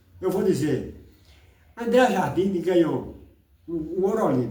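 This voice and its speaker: Audible room echo surrounds a man who talks at a very slow pace with a high pitch and lively intonation. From Brazil, countryside. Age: 80s+. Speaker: online commentator. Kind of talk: casual rant on football and politics. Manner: animated.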